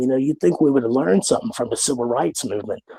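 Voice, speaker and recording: A man in a West Virginia accent, medium-pitched with ordinary pitch variation and a dark, mellow tone, in dry, close sound with no echo. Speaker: caller. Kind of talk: casual chat. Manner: halting, many fillers.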